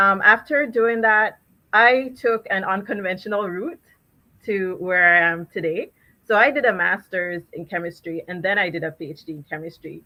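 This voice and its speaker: A woman with a Jamaican accent speaks at a moderate pace in a medium pitch with ordinary pitch variation. Her tone is bright and sharp, with big swings in loudness. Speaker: chemist. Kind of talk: panel discussion. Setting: virtual live event.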